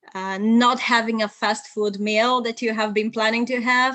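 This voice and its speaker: A fairly high-pitched woman's voice with a Bulgarian accent. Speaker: polyglot and translator. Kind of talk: live video interview.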